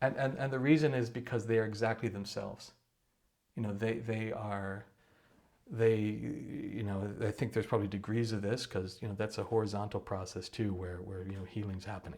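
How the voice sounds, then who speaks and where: Here a man talks with a Midwestern American accent. His pitch is fairly low and his pace fairly quick. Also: ordinary pitch variation. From US Midwest. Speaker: meditation teacher. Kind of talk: casual talk to camera. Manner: fast; halting, many repeated words.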